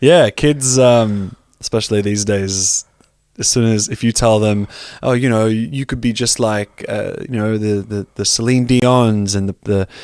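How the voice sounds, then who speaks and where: A man's fairly low voice at a fairly slow pace, with fairly even intonation, dry and close with no echo, on a very clean recording with a silent background. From Australia. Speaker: spoken word poet. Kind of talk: casual chat interview. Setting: podcast studio.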